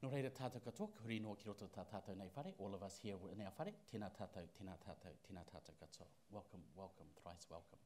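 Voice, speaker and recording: Speaking very fast with hardly any pauses, a man uses a fairly low pitch, a dark, mellow tone, and ordinary pitch variation. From New Zealand. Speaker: Māori cultural advisor; event host at lectern. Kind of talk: ceremonial blessing and welcome. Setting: stage with audience. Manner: halting. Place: hall. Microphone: podium.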